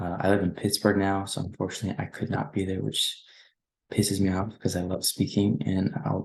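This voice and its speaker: Whispering at a fairly quick pace, a man sounds somewhat breathy. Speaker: former student society officer. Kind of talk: presentation. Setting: at home.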